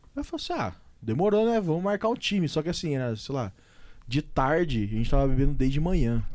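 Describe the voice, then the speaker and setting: With very wide pitch swings, a man speaks at a very fast pace. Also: fairly high pitch for a man. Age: 20s. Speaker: podcast host. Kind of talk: casual chat.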